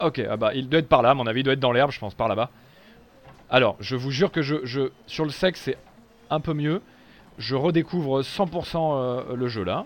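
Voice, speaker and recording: A moderate pace broken by long, frequent pauses, with ordinary pitch variation. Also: man, medium pitch for a man. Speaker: gaming streamer. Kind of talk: live gameplay commentary. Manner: animated.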